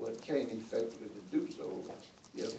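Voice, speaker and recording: A man speaks in an American accent. Audible room echo surrounds his voice. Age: 60s. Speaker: retired police officer. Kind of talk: testimony at a public hearing. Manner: halting.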